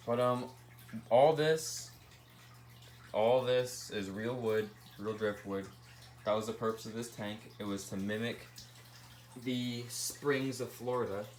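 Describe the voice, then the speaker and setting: The man's voice sits at a medium pitch, with fairly even intonation and a fairly slow pace. Long pauses come often, and the room echo is audible. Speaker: pet keeper vlogger. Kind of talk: casual tank tour video. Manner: casual, filler words.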